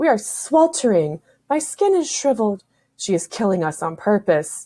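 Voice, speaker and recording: A woman in a put-on character voice, fairly high-pitched with very wide pitch swings, at a moderate pace over hissing. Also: very clean recording, silent background. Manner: whining, accusatory.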